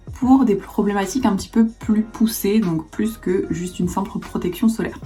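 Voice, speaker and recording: At a moderate pace and with ordinary pitch variation, a woman talks through noticeable background noise. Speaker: beauty youtuber. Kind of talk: product review.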